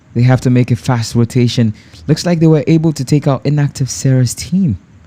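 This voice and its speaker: Dark, mellow tone from a man at medium pitch, somewhat breathy, fairly quick in pace, with ordinary pitch variation. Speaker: esports caster. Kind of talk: live commentary.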